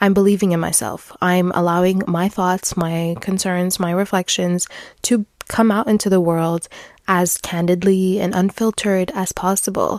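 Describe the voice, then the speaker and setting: A woman with a medium pitch speaks at a moderate pace. The sound is dry and close, with no echo. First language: French. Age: 20s. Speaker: podcaster. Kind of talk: personal podcast monologue.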